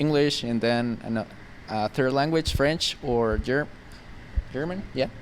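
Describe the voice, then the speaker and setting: In a Spanish accent, a man with a medium pitch and ordinary pitch variation speaks at a very slow pace, with long, frequent pauses. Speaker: tech startup founder. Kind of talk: interview. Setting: outdoors on a campus terrace. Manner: halting, many fillers.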